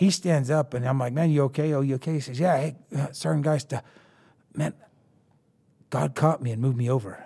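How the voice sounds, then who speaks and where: A man's somewhat breathy, dark and mellow voice with an American accent, fairly high pitch, a fairly quick pace and long, frequent pauses. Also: ordinary pitch variation. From eastern Colorado, Rocky Ford. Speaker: military contractor and author. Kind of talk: casual interview. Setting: studio.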